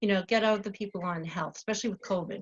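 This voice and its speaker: The speaker has a Long Island accent and fairly even intonation. The sound is dry and close, with no echo. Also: woman. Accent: New York (Long Island). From US Northeast. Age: 60s. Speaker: spa owner. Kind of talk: casual interview.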